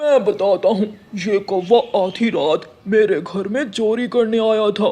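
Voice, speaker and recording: Here a man performs a cartoonish character voice at a high pitch. His delivery is fairly slow. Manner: authoritative.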